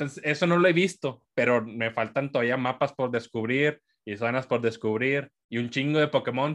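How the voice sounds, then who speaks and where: This man has a plain, everyday voice at a medium pitch with ordinary pitch variation. He talks at a moderate pace over a quiet background. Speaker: podcast host. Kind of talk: casual chat. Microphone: volume goes up and down, far from mic.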